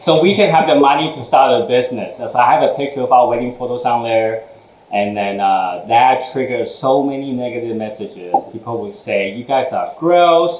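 There is noticeable background noise and audible room echo. A man talks at a medium pitch. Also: lively intonation, moderate pace. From Taiwan, moved to Houston at 15. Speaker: food business owner, former engineer. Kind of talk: interview chat.

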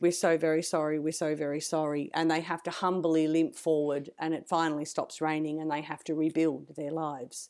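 Here a woman has an Australian accent and a fairly low pitch. She speaks at a fairly quick pace. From Australia (rural New South Wales, Griffith). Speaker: composer and music educator. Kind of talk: interview conversation. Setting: remote online interview.

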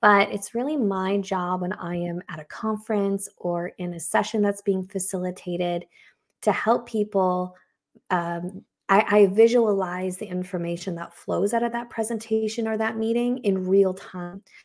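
A woman talks at a moderate pace and medium pitch, with fairly even intonation. It is a plain, everyday voice. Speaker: creative consultant and graphic recorder. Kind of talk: casual interview chat.

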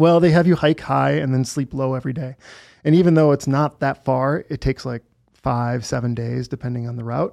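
An unremarkable speaking voice, a man with an American accent talks at a fairly quick pace with ordinary pitch variation, in a very clean recording with a silent background and a dry, close sound with no echo. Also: medium pitch for a man. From Wisconsin, US Midwest. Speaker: entrepreneur, survival gear company founder. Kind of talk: casual chat.

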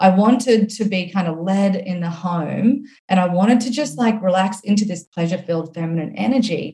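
A somewhat breathy, dark, mellow voice with an Australian accent and ordinary pitch variation. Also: woman, medium pitch for a woman, fairly quick pace. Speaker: author and coach. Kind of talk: casual interview chat.

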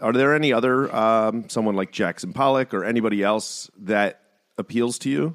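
With ordinary pitch variation, a man talks at a moderate pace in a medium pitch. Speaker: podcast host. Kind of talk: casual interview.

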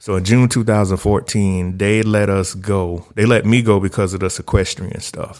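A man speaks with a Southern US accent in a fairly low pitch. His intonation is monotone and flat, at a moderate pace. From US South, rural South Carolina. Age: 30s. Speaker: technology consultant and researcher. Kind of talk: podcast interview.

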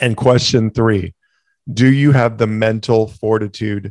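In a very clean recording with a silent background and a dry, close sound with no echo, a man talks at a fairly slow pace at medium pitch in an ordinary speaking voice. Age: 40s. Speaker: podcast host, entrepreneur. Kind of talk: casual monologue.

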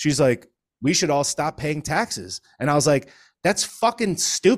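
An unremarkable speaking voice with an American accent, at a moderate pace, on a very clean recording with a silent background. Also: man. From Connecticut. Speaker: political commentator and stand-up comedian. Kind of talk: casual chat.

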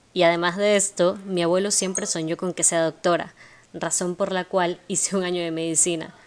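The speech moves at a moderate pace in a flat, monotone delivery. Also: woman, fairly low pitch for a woman. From Ecuador, Guayaquil. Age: 20s. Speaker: psychopedagogy student and podcaster. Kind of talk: monologue introduction.

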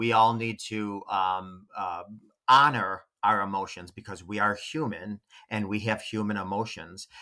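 A man speaks at a fairly slow pace with a bright, sharp tone and medium pitch. The recording is very clean, with a silent background. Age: 40s. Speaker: relationship coach. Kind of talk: casual chat.

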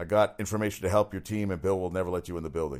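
On a very clean recording with a silent background, a man talks at a very fast pace. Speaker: sports talk radio host. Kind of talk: solo sports talk show monologue. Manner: fast talker; casual, opinionated.

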